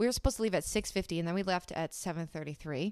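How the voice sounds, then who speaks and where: An ordinary speaking voice from a woman at medium pitch, with lively intonation, dry, close sound with no echo, and a very clean recording with a silent background. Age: 20s. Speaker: podcast co-host. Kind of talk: casual chat.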